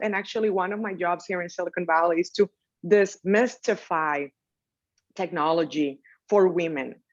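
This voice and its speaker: A woman speaks in a Dominican accent at medium pitch and a moderate pace. The background is quiet. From Dominican Republic. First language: Spanish. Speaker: technology entrepreneur. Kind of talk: panel interview.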